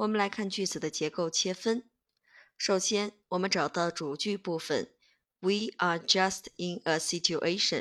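With a plain, everyday voice at a medium pitch, a woman speaks at a fairly slow pace and with fairly even intonation on a very clean recording with a silent background. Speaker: English teacher. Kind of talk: tutorial.

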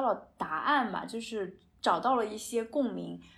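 With very wide pitch swings, a woman speaks at a fairly high pitch and a fairly slow pace. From China. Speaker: podcast co-host. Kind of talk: casual chat.

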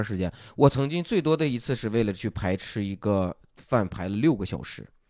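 On a very clean recording with a silent background, a man with an unremarkable speaking voice talks at a fairly quick pace and a medium pitch, with lively intonation. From Shanxi, Taiyuan. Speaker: stand-up comedian and comedy writer. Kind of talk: casual chat.

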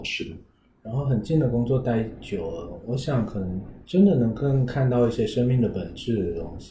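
With a Taiwanese accent, a man talks at a moderate pace in a medium pitch, his dark, mellow tone somewhat breathy and his intonation lively. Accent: Taiwanese-accented Mandarin. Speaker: podcast host and counselor. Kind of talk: casual interview chat.

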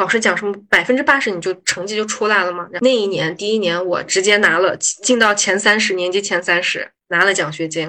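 An unremarkable speaking voice from a woman at medium pitch, with ordinary pitch variation, a fairly quick pace and hardly any pauses. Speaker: pharmaceutical investment manager. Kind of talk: casual interview chat.

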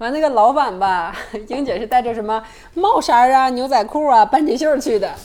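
Over noticeable background noise, a woman with a high pitch speaks at a moderate pace with lively intonation. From Northeast China. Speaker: podcast guest. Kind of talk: casual chat.

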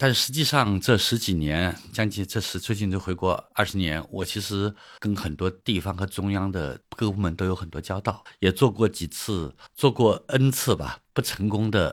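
A man's voice with ordinary pitch variation, in a very clean recording with a silent background. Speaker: economist and author. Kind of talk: interview. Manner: halting.

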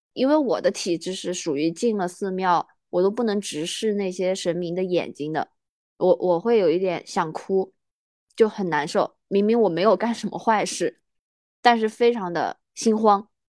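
A woman speaks in a normal speaking voice at a moderate pace, medium in pitch with ordinary pitch variation. The sound is dry and close, with no echo. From Sichuan, China. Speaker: podcast co-host. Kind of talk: casual chat.

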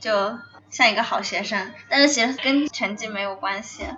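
Noticeable background noise sits behind a woman who talks at a fairly slow pace with ordinary pitch variation. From China. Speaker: student. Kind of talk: casual chat. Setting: cafe.

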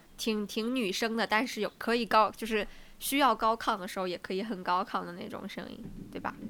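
At a fairly quick pace, the voice has a bright, sharp tone, fairly even intonation and big swings in loudness. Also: woman, fairly high pitch for a woman. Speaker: podcast co-host. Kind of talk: casual chat.

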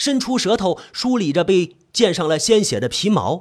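Lively intonation runs through this voice. It is an unforced reading voice.

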